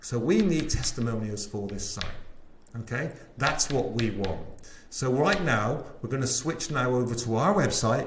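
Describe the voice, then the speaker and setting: Through audible room echo and noticeable background noise, a man with a West Country accent speaks at a moderate pace and medium pitch with lively intonation. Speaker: sales trainer. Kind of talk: webinar sales pitch. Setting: live webinar. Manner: animated.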